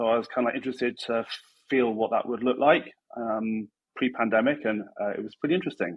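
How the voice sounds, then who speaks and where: A man's medium-pitched voice at a fairly quick pace with ordinary pitch variation. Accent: British. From UK. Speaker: chief design officer, tech guest. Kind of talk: interview.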